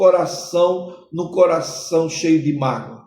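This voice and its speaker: A man's very slow speech with audible room echo. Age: 60s. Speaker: pastor. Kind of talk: sermon-style podcast teaching.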